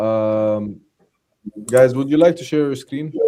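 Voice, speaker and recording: Speaking in an Arabic accent, a man keeps a moderate pace with ordinary pitch variation. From Jordan. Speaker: trader. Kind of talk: live trading session.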